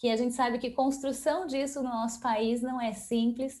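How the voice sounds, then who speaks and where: A woman with a Brazilian accent speaks at a high pitch in a dark, mellow tone. Her pace is moderate and her intonation fairly even. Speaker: event host and founder of a collaboration organization. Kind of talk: closing remarks at online event. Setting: online video event.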